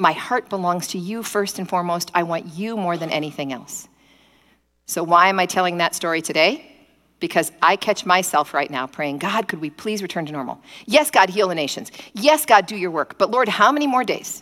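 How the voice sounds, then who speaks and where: A woman at medium pitch speaks at a fairly quick pace in a bright, sharp, animated tone. The recording is very clean, with a silent background. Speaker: preacher. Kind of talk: sermon. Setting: streamed church service, nearly empty room. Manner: fast talker.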